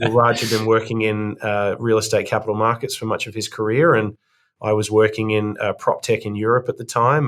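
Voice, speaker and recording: A man speaks with an Australian accent. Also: very clean recording, silent background. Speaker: investment firm co-founder. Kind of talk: podcast interview.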